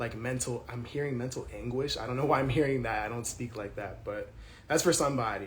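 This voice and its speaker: Amid noticeable background noise and audible room echo, a man speaks fairly quickly at a medium pitch with fairly even intonation. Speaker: tarot reader. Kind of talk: tarot reading monologue. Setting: apartment with thin walls. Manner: loud; casual, filler-heavy.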